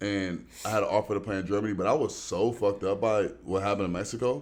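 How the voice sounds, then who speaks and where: A man speaks at a fairly quick pace in a fairly low pitch. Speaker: singer and former pro basketball player. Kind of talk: casual chat.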